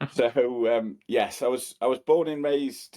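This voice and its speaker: This man, with a Cheshire accent, has a dark, mellow tone. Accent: northern English (Cheshire). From Cheshire, England. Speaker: property company colleague. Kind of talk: casual interview.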